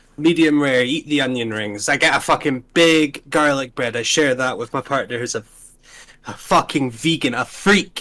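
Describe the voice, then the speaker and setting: Speaking at a moderate pace with a Scottish accent, a man has a fairly high pitch, a bright, sharp tone and ordinary pitch variation. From Scotland, Invergordon (Highlands). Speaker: gaming YouTuber hosting tier list. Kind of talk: casual chat. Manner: animated, hyper; halting, repetitive fillers.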